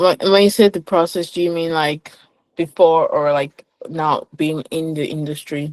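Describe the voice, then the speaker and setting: A woman with a Nigerian accent talks at a moderate pace, the sound dry and close with no echo. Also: fairly low pitch for a woman, fairly even intonation. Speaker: finance professional. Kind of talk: interview conversation.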